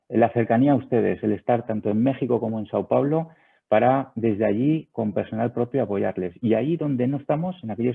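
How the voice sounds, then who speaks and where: With normal rises and falls in pitch, the man talks at a mid-range pitch. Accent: Spanish. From Spain. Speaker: sales director of a video surveillance company. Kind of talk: webinar presentation. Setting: online webinar.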